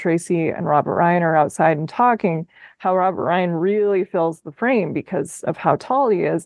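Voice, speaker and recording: With a Minnesotan accent, a woman speaks at a medium pitch with ordinary pitch variation. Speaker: podcast host. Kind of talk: podcast conversation.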